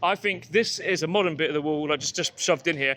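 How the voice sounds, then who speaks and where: A man with a West Country accent talks very fast in a high voice, with ordinary pitch variation. The recording is very clean, with a silent background. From Exeter, Devon, south-west England. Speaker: podcast host. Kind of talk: casual chat. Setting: outdoors. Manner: hesitant, filler-heavy.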